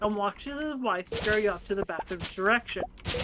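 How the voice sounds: Natural voice, reading aloud.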